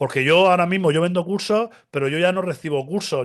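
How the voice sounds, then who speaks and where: The delivery is very fast and animated in tone. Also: man. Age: 40s. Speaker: cybersecurity specialist. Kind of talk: casual interview.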